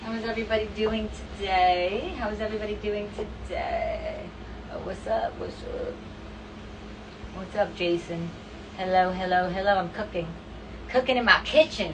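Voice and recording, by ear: With clear background noise behind her, a woman speaks at a moderate pace with lively intonation. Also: medium pitch for a woman.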